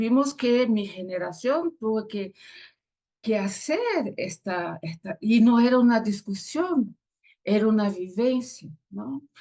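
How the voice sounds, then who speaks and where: A woman with a Brazilian accent speaks at a very slow pace with lively intonation and a fairly high pitch. Her tone is dark and mellow, and somewhat breathy. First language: Portuguese (speaking Spanish). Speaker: theologian and pastor. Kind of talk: interview. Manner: halting.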